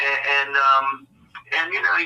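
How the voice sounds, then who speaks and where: A man is talking. Behind him there is noticeable background noise. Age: 70s. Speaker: retired lacrosse coach. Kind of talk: casual chat. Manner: halting, many repeated words.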